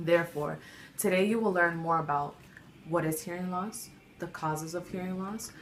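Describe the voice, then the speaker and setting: In a room with audible echo, a woman speaks in a fairly low voice with fairly even intonation. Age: young. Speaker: student giving a class speech. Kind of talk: informative speech.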